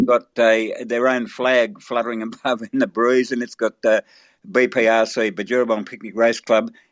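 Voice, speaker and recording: A man with an Australian accent speaks in a dry, close sound with no echo, on a very clean recording with a silent background. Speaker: race caller. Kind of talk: interview answer.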